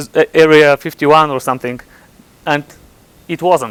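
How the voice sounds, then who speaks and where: Here a man speaks with a Bulgarian accent. He keeps a moderate pace. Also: dry, close sound with no echo. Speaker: computer scientist. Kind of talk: conference talk. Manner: halting, many repetitions.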